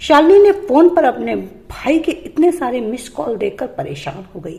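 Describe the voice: A woman speaks at a moderate pace in a high pitch, her tone dark and mellow with a slightly husky edge and some vocal fry. Her pitch swings widely up and down.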